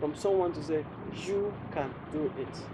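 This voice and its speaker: A man speaks in a high voice with a Ghanaian accent. Noticeable background noise can be heard. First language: Ghanaian local language. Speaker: public speaking coach. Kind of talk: interview.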